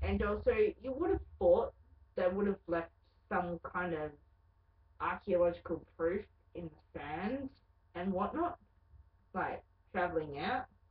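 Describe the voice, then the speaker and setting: A woman speaks with an Australian accent and a lively, rising-and-falling intonation. Her voice is somewhat breathy, and she leaves long pauses often. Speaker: vlogger. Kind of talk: casual webcam monologue.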